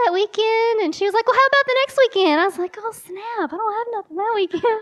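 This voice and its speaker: With a dry, close sound and no echo, a woman speaks at an extremely high pitch in an Eastern Kentucky accent. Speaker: women's conference speaker. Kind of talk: sermon. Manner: animated.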